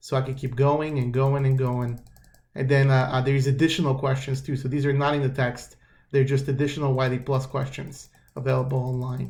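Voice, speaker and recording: A somewhat breathy, monotone voice with flat intonation, a fairly quick pace and audible room echo. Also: man, medium pitch for a man. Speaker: math instructor. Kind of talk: tutorial. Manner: casual, halting with fillers; fast.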